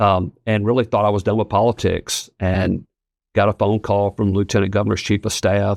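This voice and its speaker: Over a quiet background, a man with a Southern US accent speaks at a moderate pace and fairly low pitch, with monotone, flat intonation and very even loudness. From Tennessee (Ripley, West Tennessee). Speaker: state official, politician. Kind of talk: casual chat.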